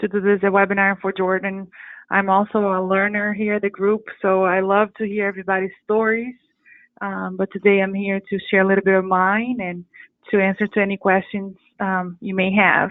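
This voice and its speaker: A woman's monotone, flat delivery at a moderate pace, with a Portuguese accent. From Brazil, São Paulo. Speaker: janitorial business owner. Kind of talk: webinar presentation. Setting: webinar.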